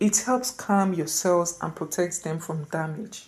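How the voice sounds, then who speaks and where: This dark, mellow voice moves at a very slow pace with ordinary pitch variation. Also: woman. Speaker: health explainer video creator. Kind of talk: casual educational talk to camera. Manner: slightly halting, repeats words.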